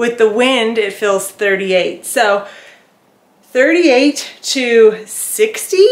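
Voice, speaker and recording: The woman's voice shows ordinary pitch variation. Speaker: garden vlogger. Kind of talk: casual vlog chat. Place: garden.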